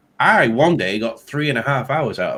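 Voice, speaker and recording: A man speaks with an English accent. His fairly high voice has lively intonation. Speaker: tech YouTuber. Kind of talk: casual chat.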